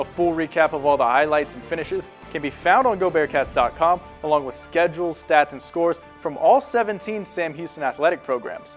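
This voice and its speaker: Background music under a man's fairly quick speech. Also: fairly high pitch for a man, ordinary pitch variation. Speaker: sports anchor and reporter. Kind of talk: TV sports news read.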